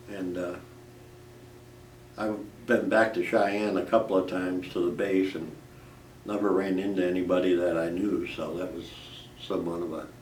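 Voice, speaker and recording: A man's very deep, low voice with an American accent, monotone and flat, at a moderate pace with long, frequent pauses and audible room echo. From Chicago, US Midwest. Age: 70s. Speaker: war veteran. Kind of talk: oral history interview. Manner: halting, with repetitions and fillers.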